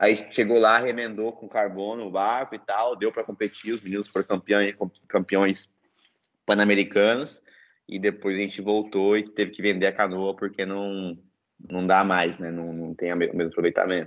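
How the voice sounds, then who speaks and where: A fairly low-pitched man at a moderate pace, with fairly even intonation and a quiet background. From Brazil, interior of São Paulo state. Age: 20s. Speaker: Olympic canoeist. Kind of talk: casual interview.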